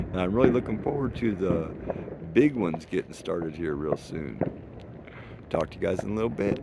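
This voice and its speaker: Over noticeable background noise, a man talks at a fairly quick pace with lively intonation. His pitch is very deep and low, and he takes long, frequent pauses. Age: 60s. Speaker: vlogger. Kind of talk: casual vlog narration. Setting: outdoors.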